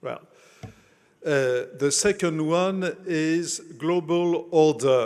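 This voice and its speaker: Fairly even intonation marks this man's speech in a French accent. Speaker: conference host. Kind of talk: speaker introduction. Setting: conference dinner with audience. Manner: halting, many fillers.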